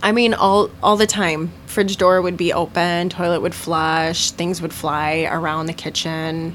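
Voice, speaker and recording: With noticeable background noise around her, a woman speaks at a fairly slow pace and a fairly low pitch. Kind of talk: ghost story telling, casual chat. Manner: animated, conversational storyteller.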